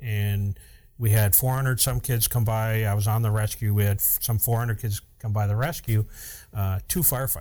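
A man speaks in an American accent, his tone dark and mellow and somewhat breathy. The recording is very clean, with a silent background. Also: fairly low pitch for a man, fairly even intonation, moderate pace. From upstate New York. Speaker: fire captain and podcast host. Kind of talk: casual chat.

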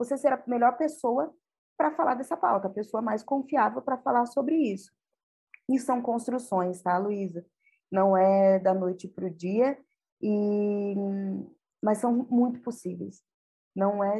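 A woman's fairly high voice with a dark, mellow tone and ordinary pitch variation, at a fairly slow pace with long, frequent pauses. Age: 40s. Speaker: communications specialist. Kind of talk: podcast interview.

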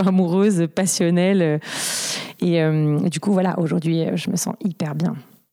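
A woman talks at a moderate pace and medium pitch. Noticeable background noise runs underneath. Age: 30s. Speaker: interviewee sharing bipolar experience. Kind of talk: personal testimony. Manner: halting, repeated stutter-like restarts.

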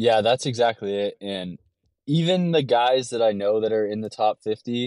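An ordinary speaking voice with a Canadian accent, moderate pace and ordinary pitch variation, in a dry, close sound with no echo and a quiet background. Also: man. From Canada, LaSalle near Windsor, Ontario. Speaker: professional triathlete and podcast host. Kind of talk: casual interview conversation.

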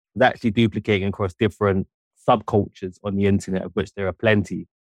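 A man with a London accent speaks at a very fast pace in a fairly low pitch. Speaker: journalist and author. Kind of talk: interview.

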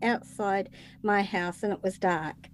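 A woman speaks with a New Zealand accent. Her pace is fairly slow. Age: 60s. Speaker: retired nurse and medium, podcaster. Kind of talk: interview.

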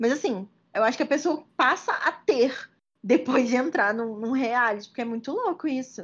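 Over a quiet background, a woman speaks at a high pitch with lively intonation. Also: moderate pace. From Minas Gerais, Brazil (Juiz de Fora). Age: 20s. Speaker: medical student. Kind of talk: casual chat.

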